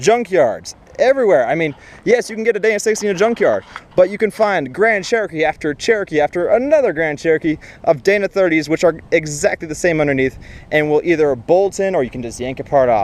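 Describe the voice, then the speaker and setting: A man talks at a very fast pace. His high pitch rises and falls with lively intonation. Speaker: jeep owner vlogger. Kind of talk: casual tutorial vlog. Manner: casual with fillers.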